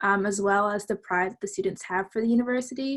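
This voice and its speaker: A woman speaks in a plain, everyday voice. Her pitch is fairly high and her intonation fairly even. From New Jersey. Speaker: university student panelist. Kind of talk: panel Q&A.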